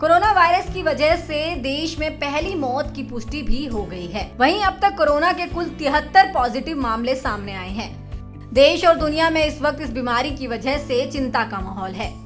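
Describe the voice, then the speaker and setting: With music in the background, a woman with a high pitch speaks with hardly any pauses and big swings in loudness. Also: lively intonation. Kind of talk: TV news report.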